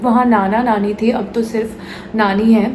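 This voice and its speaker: A woman's fairly high voice with a Bengali accent, plus audible room echo and noticeable background noise. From West Bengal, India. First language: Bengali (speaking Hindi). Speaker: actress and vlogger. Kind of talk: personal vlog confession. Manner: hesitant, with fillers.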